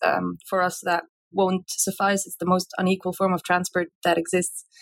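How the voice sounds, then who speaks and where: A woman's normal speaking voice at a moderate pace, dry and close with no echo, in a very clean recording with a silent background. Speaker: Greenpeace campaigner.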